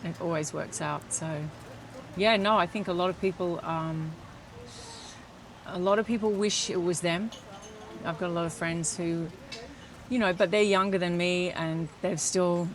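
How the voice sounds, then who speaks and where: With long, frequent pauses, a woman in an Australian accent speaks at a fairly low pitch and fairly even intonation. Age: 60s. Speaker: metabolic health coach. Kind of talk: interview answer.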